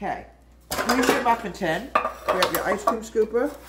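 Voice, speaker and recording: A woman's voice over noticeable background noise. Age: 60s. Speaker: home cooking video host. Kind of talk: cooking tutorial with reminiscing. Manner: casual, chatty.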